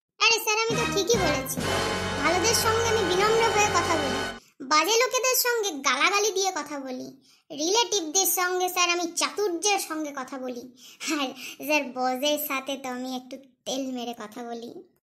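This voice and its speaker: This is a cartoonish character voice delivered at a moderate pace. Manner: glib, playful, addresses boss as sir.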